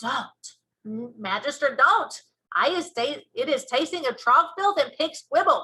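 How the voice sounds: A woman puts on a character voice with a high pitch and a bright, sharp tone. She speaks at a fairly slow pace with lively intonation.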